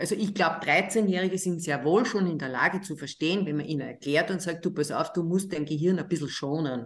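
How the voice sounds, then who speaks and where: In an Austrian accent, a woman speaks at a fairly low pitch. Her pitch variation is ordinary. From Austria, Linz. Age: 60s. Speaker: psychiatrist and author. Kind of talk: interview.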